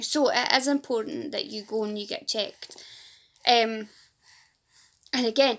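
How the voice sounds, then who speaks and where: A woman with a Fife accent speaks in a high pitch with ordinary pitch variation. She takes long, frequent pauses, and her loudness swings widely. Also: fairly slow pace. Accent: Fife Scottish. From Scotland, Fife. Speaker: patient advocate and support group leader. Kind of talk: casual vlog to camera.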